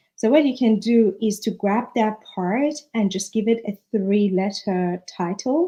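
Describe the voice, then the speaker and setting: With a non-native accent, a woman speaks in a dark, mellow tone, somewhat breathy, with ordinary pitch variation against a quiet background. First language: not English. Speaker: author. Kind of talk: live stream talk. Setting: livestream.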